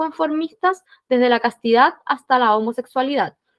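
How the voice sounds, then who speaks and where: A woman speaks at a fairly quick pace. Her voice is high, with ordinary pitch variation. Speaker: book club host. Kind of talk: book club discussion. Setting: video call.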